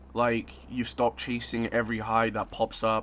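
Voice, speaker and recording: Speaking at a fairly slow pace, a man with an American accent has a medium pitch. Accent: sounds American. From Zimbabwe. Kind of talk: reflective spoken-word video essay. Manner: casual, reflective, soft.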